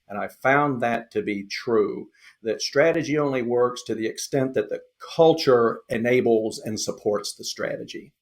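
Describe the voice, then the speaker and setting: Speaking at a moderate pace, a man talks in a Southern US accent. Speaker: lean consultant. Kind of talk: podcast interview. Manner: halting, many fillers.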